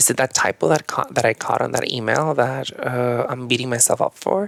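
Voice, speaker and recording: With a Mexican accent, a man talks at a fairly quick pace in a dry, close sound with no echo. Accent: Mexican Spanish accent, CH and SH merged. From Chihuahua, Mexico. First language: Spanish. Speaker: yoga and meditation teacher. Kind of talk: podcast interview.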